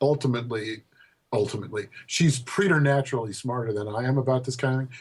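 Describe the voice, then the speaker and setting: With an American accent, the speaker sounds somewhat breathy and talks at a fairly quick pace. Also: man. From Colorado, US. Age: 60s. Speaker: poet. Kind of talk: interview. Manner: halting.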